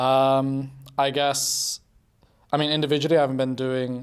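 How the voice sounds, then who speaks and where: A man with a British accent, medium pitch, moderate pace and monotone, flat intonation. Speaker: pro esports player. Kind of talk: casual interview.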